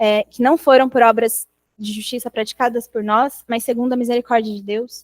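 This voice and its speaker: A soft-spoken woman with a fairly high pitch talks at a moderate pace in a flat, monotone way while her loudness swings widely. The sound is dry and close, with no echo. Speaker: bible study leader. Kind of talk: devotional talk.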